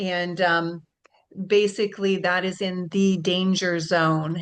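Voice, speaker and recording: This is a woman with a plain, everyday voice. She speaks at medium pitch with fairly even intonation. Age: 60s. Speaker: webinar host. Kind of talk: webinar presentation. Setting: video call.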